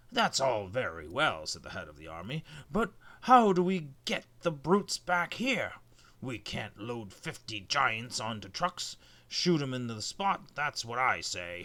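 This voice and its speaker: A put-on character voice, raspy, at a fairly slow pace, with very wide pitch swings and big swings in loudness. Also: man, medium pitch for a man. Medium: read story. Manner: brusque, blustering.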